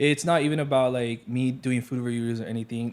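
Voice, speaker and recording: On a very clean recording with a silent background, a man speaks fairly quickly in an energetic tone, his medium pitch showing ordinary variation. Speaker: content creator doing restaurant reviews. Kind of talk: casual chat. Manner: loud.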